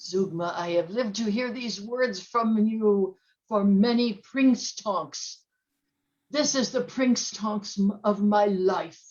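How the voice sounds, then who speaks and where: A female-sounding voice puts on a character voice at a medium pitch. The pace is fairly slow. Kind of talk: B-movie villain overacting. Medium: stage play. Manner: eager, fawning.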